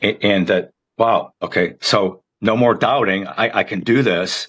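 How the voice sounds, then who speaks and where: This man has a plain, everyday voice, pitched fairly low. His intonation stays fairly even. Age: 60s. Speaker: marathon runner. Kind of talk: podcast interview.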